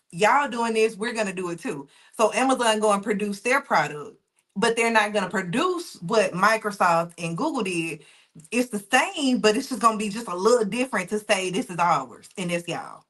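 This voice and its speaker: With a Southern US accent, the speaker goes at a moderate pace with lively intonation. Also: woman, fairly high pitch for a woman. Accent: Southern US, noticeable. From US South. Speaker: data engineer and SQL instructor. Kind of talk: live online class, teaching. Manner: casual, conversational.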